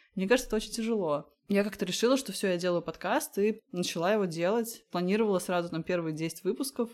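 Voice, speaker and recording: With hardly any pauses, a woman talks at a very fast pace at a medium pitch with ordinary pitch variation. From Latvia. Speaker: podcaster and food photographer. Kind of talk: interview.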